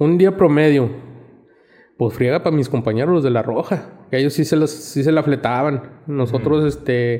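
A man speaks in a fairly high pitch. His tone is dark and mellow. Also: ordinary pitch variation, moderate pace, very even loudness. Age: 50s. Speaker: paramedic. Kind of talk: casual chat.

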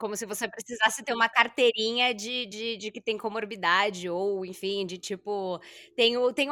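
A woman's bright, sharp, fairly high voice at a moderate pace with ordinary pitch variation, in a very clean recording with a silent background. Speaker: podcast host, gerontologist. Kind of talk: interview.

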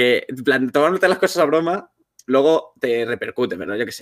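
With a normal speaking voice, a man talks at a fairly slow pace and ordinary pitch variation. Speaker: content creator, streamer. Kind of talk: casual chat on a livestream.

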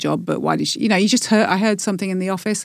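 A woman with vocal fry at a very fast pace, on a very clean recording with a silent background. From Newcastle, northern England. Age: 50s. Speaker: podcast guest sharing life story. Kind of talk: casual interview chat.

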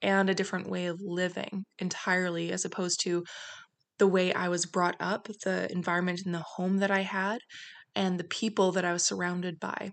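A woman with a Canadian accent at a medium pitch and a fairly quick pace, in a monotone, flat intonation. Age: 20s. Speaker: podcast host. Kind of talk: solo podcast monologue.

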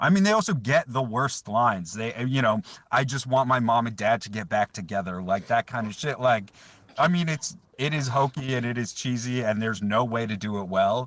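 He is a man with an ordinary speaking voice, pitched at a medium level. His pace is fairly quick, and his pitch variation is ordinary. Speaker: podcast guest. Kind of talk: casual chat. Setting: phone call.

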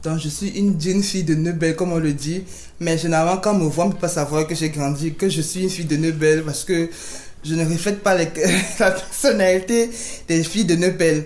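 Through audible room echo and noticeable background noise, a woman talks at a fairly quick pace with a fairly low pitch and fairly even intonation. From Cameroon. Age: 30s. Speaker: business owner. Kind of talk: interview. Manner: halting.

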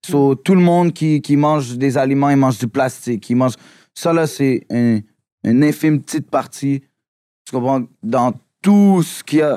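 A man with a Quebec accent, fairly high-pitched, dark and mellow in tone, ordinary pitch variation, long and frequent pauses, in a very clean recording with a silent background and a dry, close sound without echo. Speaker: rapper. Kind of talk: casual chat.

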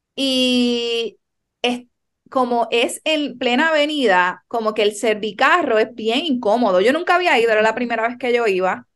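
A woman with a high pitch speaks at a fairly slow pace, with ordinary pitch variation and very even loudness. The background is quiet. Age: 30s. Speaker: chiropractor and podcast host. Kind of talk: casual chat.

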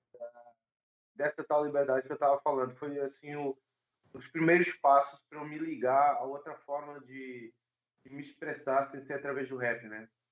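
A man's voice, fairly high in pitch. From Brazil. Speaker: singer and rapper. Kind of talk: interview. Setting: video call.

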